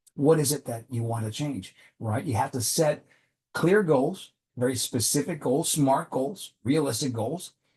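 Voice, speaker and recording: A man speaks fairly slowly at a fairly high pitch with lively intonation. His tone is dark and mellow, and somewhat breathy. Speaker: executive coach. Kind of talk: motivational talk to camera.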